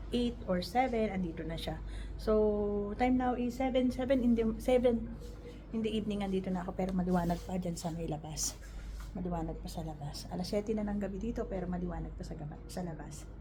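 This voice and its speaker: Quiet speech moves at a fairly quick pace amid noticeable background noise and audible room echo. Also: woman. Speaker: caregiver. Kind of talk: vlog narration. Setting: hospital room. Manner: quiet, holding voice down.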